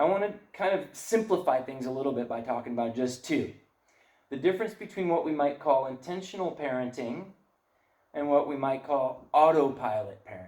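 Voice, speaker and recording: In a room with audible echo, a man talks at a fairly high pitch with lively intonation. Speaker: parenting seminar speaker. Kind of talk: lecture. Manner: fast; animated.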